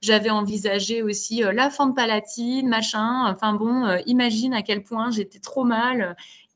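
Delivered at a fairly slow pace with hardly any pauses, the speech keeps a fairly even intonation. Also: woman, fairly high pitch for a woman. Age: 30s. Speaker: primary school teacher and mother telling her birth story. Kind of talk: interview testimony. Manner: hesitant with many fillers.

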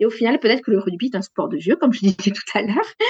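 A woman with a southwestern French accent and ordinary pitch variation, in dry, close sound with no echo. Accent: southwest French. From southwest France, Gers. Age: 40s. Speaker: sports journalist. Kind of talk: interview.

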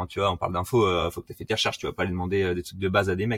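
A man talks very fast at a fairly low pitch, somewhat breathy. The recording is very clean, with a silent background and a dry, close sound with no echo. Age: 20s. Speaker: SEO specialist. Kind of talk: casual interview.

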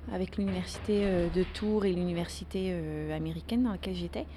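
With a slight Dutch accent, a woman speaks at a moderate pace. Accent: very slight Dutch accent in French. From Netherlands. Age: 30s. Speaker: interviewee. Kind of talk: casual chat. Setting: café. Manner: halting.

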